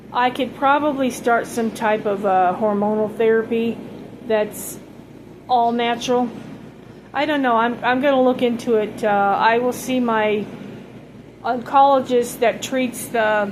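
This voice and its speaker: Over noticeable background noise and audible room echo, a woman speaks at a fairly slow pace and fairly high pitch, with fairly even intonation and long, frequent pauses. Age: 60s. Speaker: vlogger sharing cancer journey. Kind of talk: casual personal vlog. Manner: halting, many fillers.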